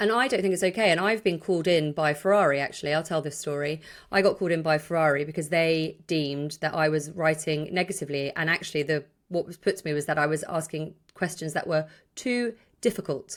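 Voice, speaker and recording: A woman's very deep, low pitch at a very fast pace. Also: ordinary pitch variation, very clean recording, silent background. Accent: British. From Ireland. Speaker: sports journalist and podcast host. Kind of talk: podcast discussion. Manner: animated.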